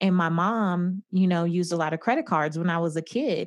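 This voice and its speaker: A woman with a plain, everyday voice at a medium pitch, with ordinary pitch variation and a fairly quick pace. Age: 30s. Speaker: personal finance expert. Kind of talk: interview.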